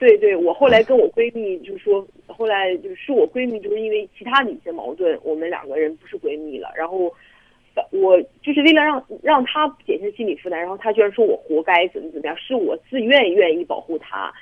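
A woman talks at a fairly quick pace with a fairly high pitch. Her pitch swings very widely and her loudness shifts greatly. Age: 20s. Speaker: caller. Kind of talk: phone-in counselling conversation.

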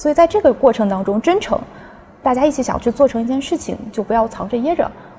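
A woman speaks very fast with a high pitch and lively intonation. Noticeable background noise is present. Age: young. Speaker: academic partnerships staff. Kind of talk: casual chat.

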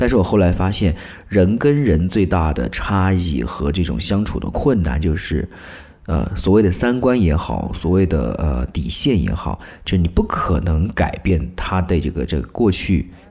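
A man's very deep, low voice with a dark, mellow tone, vocal fry, very wide pitch swings and a moderate pace. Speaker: public institution employee writing news. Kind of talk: casual chat. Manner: animated.

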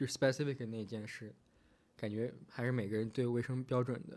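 This man speaks at a medium pitch and a moderate pace. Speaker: international student in New York. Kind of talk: casual chat.

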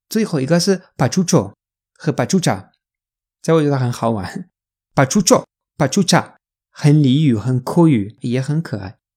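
Pitched very deep and low, a woman with a Spanish accent speaks at a fairly slow pace in a dark, mellow tone, her pitch swinging very widely between long, frequent pauses, in a very clean recording with a silent background. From Spain. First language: Spanish (speaking Chinese). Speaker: language teacher. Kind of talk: tutorial.

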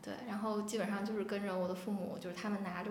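Delivered at a very fast pace in a flat monotone, the speech comes with audible room echo and noticeable background noise. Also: woman. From Jinzhou, Liaoning, northeast China. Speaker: podcast guest, new mother. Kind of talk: casual chat.

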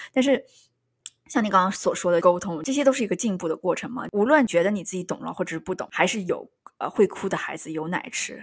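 Very fast delivery with lively intonation on a very clean recording against a silent background. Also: woman, medium pitch for a woman. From Yunnan, China. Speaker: podcast host. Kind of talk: casual chat.

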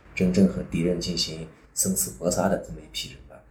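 In a room with audible echo, a man with a very deep, low voice talks at a fairly quick pace with lively intonation. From Xinjiang, northwest China. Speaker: former police detective and business executive. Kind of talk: personal life story monologue.

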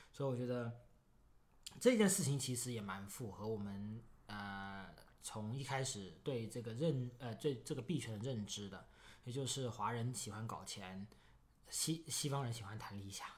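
A somewhat breathy man's voice at a medium pitch, moderate pace and ordinary pitch variation. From Foshan, Guangdong, China. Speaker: crypto podcast co-host. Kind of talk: casual chat.

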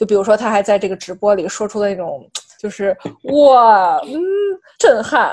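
A woman with a fairly high pitch and ordinary pitch variation talks at a moderate pace, leaving long, frequent pauses. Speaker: art podcast co-host. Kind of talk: casual chat.

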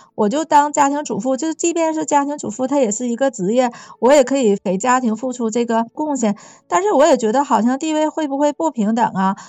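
Speaking at a fairly quick pace, a woman with a slight Northeast Chinese accent uses a high pitch and lively intonation. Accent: slight Northeastern Mandarin. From Northeast China. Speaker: podcast guest. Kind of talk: casual chat.

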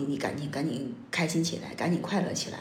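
Noticeable background noise accompanies a woman who talks very fast. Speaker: podcast host. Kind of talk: casual chat. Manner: halting, many filler sounds.

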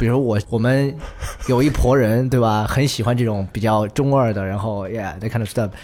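A man speaks at a moderate pace in a medium pitch, with ordinary pitch variation and a plain, everyday voice. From Chengdu, Sichuan. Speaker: musician. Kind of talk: casual chat.

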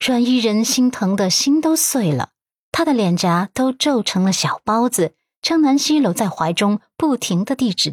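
Plain reading aloud with lively intonation, set against a quiet background.

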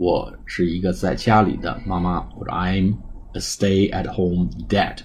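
This man's voice has a dark, mellow tone and is somewhat breathy. He speaks at a fairly slow pace. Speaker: English teacher. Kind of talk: tutorial.

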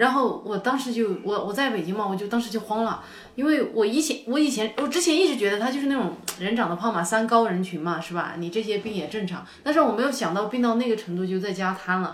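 A woman talks very fast at a fairly high pitch, her intonation lively. The room echoes audibly, and background noise is noticeable. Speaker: podcast guest. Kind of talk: casual chat. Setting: cafe.

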